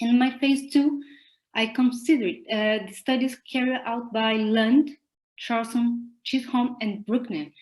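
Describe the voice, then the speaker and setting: Speaking with a Portuguese accent, a woman uses a high pitch, a fairly slow pace and fairly even intonation. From Brazil. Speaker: psychologist and conference presenter. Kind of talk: academic conference presentation.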